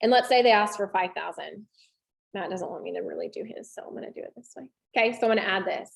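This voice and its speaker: A woman talks at a very fast pace. Her loudness swings widely. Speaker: real estate trainer. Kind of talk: tutorial.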